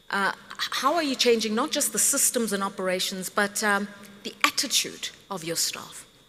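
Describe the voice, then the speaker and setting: Noticeable background noise sits behind a woman whose fairly high voice has lively intonation at a moderate pace. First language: not English. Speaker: panel moderator. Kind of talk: panel discussion. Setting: stage with audience.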